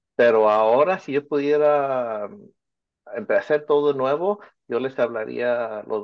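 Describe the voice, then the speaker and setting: A man talks at a fairly slow pace in a normal speaking voice, medium in pitch with ordinary pitch variation. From Orange County, California (Mexican family from Michoacán). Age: 50s. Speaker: teacher and children's author. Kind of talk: interview.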